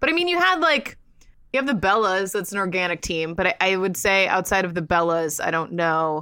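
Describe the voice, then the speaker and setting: With an American accent, a woman speaks at medium pitch in a bright, sharp tone, with lively intonation at a fairly quick pace. The recording is very clean, with a silent background. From Florida, US. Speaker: wrestling and sports podcast co-host. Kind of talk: casual chat.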